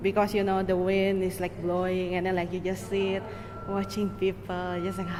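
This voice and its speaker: A woman speaks at a medium pitch amid noticeable background noise and audible room echo. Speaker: audio walk artist. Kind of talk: interview. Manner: halting.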